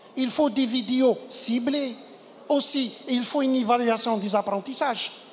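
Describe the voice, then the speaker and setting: With noticeable background noise behind her, a woman talks at a fairly slow pace. Her pitch is high, and her intonation is fairly even. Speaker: conference speaker, medical educator. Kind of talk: conference talk.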